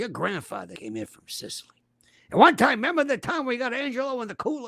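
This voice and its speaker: A put-on character voice at a fairly high pitch rattles along at a very fast pace in a very clean recording with a silent background. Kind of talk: gruff, no-nonsense.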